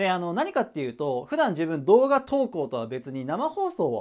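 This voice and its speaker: A man with a high pitch and very wide pitch swings against a quiet background. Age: 30s. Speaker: online tutor / education YouTuber; online study tutor. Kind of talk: casual announcement to viewers. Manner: hesitant, many fillers.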